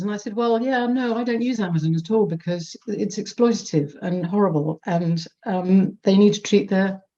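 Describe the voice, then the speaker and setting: A woman's somewhat breathy voice has a dark, mellow tone at medium pitch, moving at a moderate pace with ordinary pitch variation. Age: 50s. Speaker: audience member at online report launch. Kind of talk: audience comment in Q&A. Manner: halting, many repetitions and fillers.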